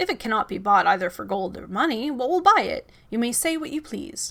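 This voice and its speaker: Put-on character voice from a woman, high-pitched, at a fairly quick pace. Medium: read story.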